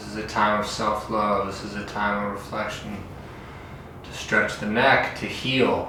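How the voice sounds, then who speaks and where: A man's calm, soothing voice at a fairly low pitch, monotone and flat in intonation, with big swings in loudness, a fairly slow pace, noticeable background noise and audible room echo. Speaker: fitness instructor. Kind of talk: guided stretching tutorial.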